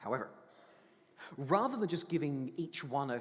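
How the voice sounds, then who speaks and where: Fairly high pitch from a man, with lively intonation and a fairly quick pace. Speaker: priest. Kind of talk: sermon. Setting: church.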